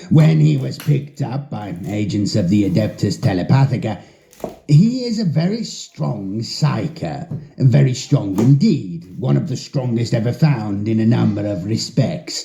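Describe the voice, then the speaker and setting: A put-on character voice, wheezy and delivered at a moderate pace. The pitch swings very widely. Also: man, medium pitch for a man. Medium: read story. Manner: measured, lecturing.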